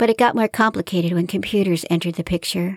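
With a plain, everyday voice, a woman speaks fairly quickly at a medium pitch with ordinary pitch variation, in a dry, close sound with no echo on a very clean recording with a silent background. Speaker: author and podcast host reading her own fiction. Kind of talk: literary audiobook reading of her own fiction, narrated with character dialogue. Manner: measured, storyteller pacing, warm and expressive narration.

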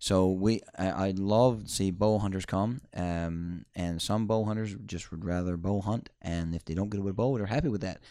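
Spoken with a Newfoundland accent at a moderate pace, this dark, mellow voice moves with fairly even intonation and hardly any pauses over a very clean recording with a silent background. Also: man, fairly low pitch for a man. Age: 30s. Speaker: moose hunting guide and outfitter. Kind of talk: interview. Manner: halting.

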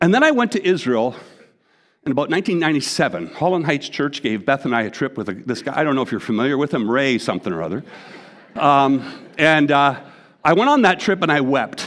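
A man with a Canadian accent speaks at a fairly quick pace and a fairly high pitch, with very wide pitch swings and vocal fry. The recording is very clean, with a silent background. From Canada. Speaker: pastor. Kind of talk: sermon. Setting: church. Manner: halting.

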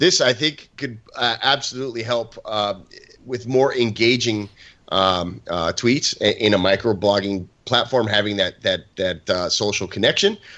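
Using a normal speaking voice, the man keeps a medium pitch and ordinary pitch variation. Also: fairly slow pace. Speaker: podcast co-host. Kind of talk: casual chat.

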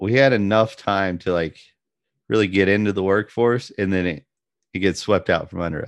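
A man's low voice, fairly slow, with ordinary pitch variation

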